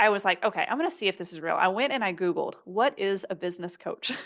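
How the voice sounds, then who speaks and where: Over a quiet background, a woman speaks in a plain, everyday voice at medium pitch with lively intonation. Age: 30s. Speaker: business coach and entrepreneur. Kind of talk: interview.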